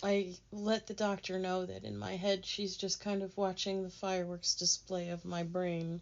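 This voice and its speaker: A woman's medium-pitched, flat, monotone voice. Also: moderate pace. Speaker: author reading own memoir. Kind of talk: reading aloud.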